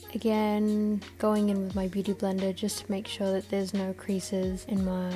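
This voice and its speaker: A woman speaks quietly at a medium pitch and moderate pace, her intonation fairly even, with music playing in the background. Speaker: beauty vlogger. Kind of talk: makeup tutorial voiceover. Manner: quiet, low-energy.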